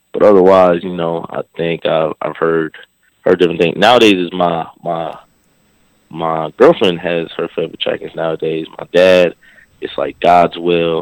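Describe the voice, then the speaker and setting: In a dry, close sound with no echo, a man with an American accent speaks in a very deep, low pitch and a monotone, flat intonation, with big swings in loudness. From New York, Brooklyn, East New York. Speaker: hip hop artist. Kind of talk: interview. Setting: phone call.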